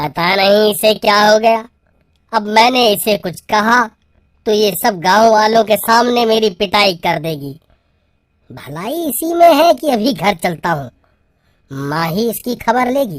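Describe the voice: A woman's cartoonish character voice at medium pitch, with very wide pitch swings and a fairly slow pace.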